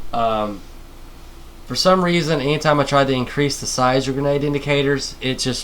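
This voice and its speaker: This man's voice is medium in pitch, with noticeable background noise behind it. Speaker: modding tutorial maker. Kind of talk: screen-recorded tutorial. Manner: fast; stuttering, halting.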